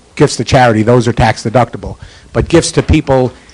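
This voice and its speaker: A man with an American accent speaks at a medium pitch, varying it by an ordinary amount, against noticeable background noise. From New York. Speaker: certified public accountant. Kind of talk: seminar talk with Q&A. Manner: fast.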